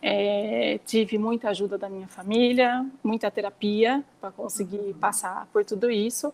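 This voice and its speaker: A woman with a normal speaking voice, medium pitch, moderate pace and fairly even intonation, in a dry, close sound with no echo. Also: big swings in loudness. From interior of São Paulo state, Brazil. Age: 40s. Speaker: nail salon owner and mother. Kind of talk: casual interview chat.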